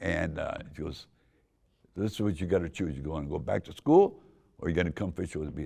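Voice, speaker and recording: An American-accented man speaks at a fairly quick pace with a very deep, low pitch. His voice has vocal fry and ordinary pitch variation. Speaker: car club founder. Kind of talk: storytelling. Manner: animated.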